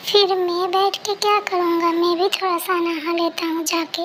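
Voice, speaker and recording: A woman puts on a squeaky character voice at an extremely high pitch, keeping her intonation monotone and flat at a moderate pace. Clear background noise sits behind her. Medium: fan dub. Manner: sulky, defensive.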